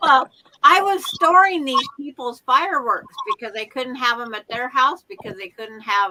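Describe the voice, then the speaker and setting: Raised and projected, a woman's high-pitched voice makes very wide pitch swings and big swings in loudness. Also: moderate pace. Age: 60s. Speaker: quilting stream participant. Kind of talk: casual chat.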